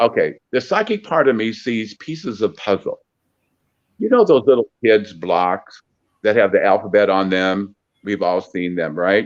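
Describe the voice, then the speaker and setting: The speaker has an American accent and talks at a fairly slow pace. Pitch variation is ordinary. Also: man, fairly low pitch for a man. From US Midwest, Peoria, Illinois. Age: 60s. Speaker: psychic medium. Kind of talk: interview. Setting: phone call. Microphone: on phone, cutting in and out, mic covered by hand.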